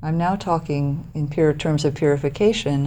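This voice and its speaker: Soft-spoken, a woman with a very deep, low pitch and a dark, mellow tone talks at a moderate pace with ordinary pitch variation. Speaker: meditation teacher. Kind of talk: dharma talk. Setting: meditation hall with audience.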